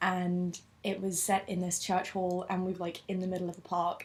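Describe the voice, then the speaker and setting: This woman has a southern English accent and a medium pitch. Her intonation is monotone and flat. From London, England. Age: 20s. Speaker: university student. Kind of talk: interview.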